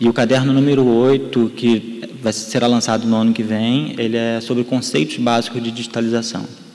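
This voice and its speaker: Noticeable background noise and audible room echo surround this man's voice. He speaks at a medium pitch with monotone, flat intonation. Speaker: photo conservation specialist. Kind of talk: lecture. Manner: halting, many repetitions.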